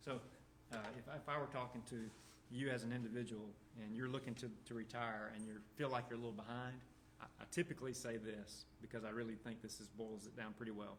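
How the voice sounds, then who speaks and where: A man rushes along at a very fast pace with a Southern US accent. His intonation stays monotone and flat, and audible room echo surrounds him. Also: medium pitch for a man. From US South. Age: 50s. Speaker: financial speaker. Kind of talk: presentation. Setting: church.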